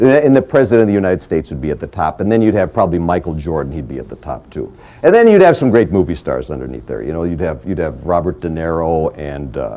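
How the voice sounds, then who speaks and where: A man speaks very fast with hardly any pauses, his very deep, low voice carrying vocal fry and a dark, mellow tone as it makes very wide pitch swings and big swings in loudness. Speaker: entrepreneur and lecturer. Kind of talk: lecture to an audience, humorous anecdotes. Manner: casual, jokey, conversational.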